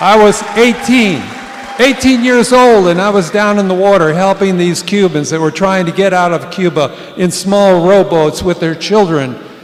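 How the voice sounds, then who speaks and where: Over noticeable background noise, a man with a high voice speaks at a moderate pace. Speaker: war veteran, veterans post officer. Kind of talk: stage speech. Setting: stage with audience. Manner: enthusiastic.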